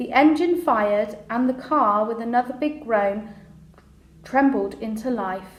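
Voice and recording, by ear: Speaking slowly at a fairly high pitch with ordinary pitch variation, a woman is heard with audible room echo.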